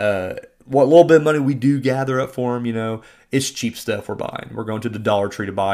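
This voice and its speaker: In a very clean recording with a silent background, a man talks at a fairly quick pace in an ordinary speaking voice with ordinary pitch variation. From Southern Indiana, US. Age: 30s. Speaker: podcast host and indie filmmaker. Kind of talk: casual monologue and film review. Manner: casual, many fillers.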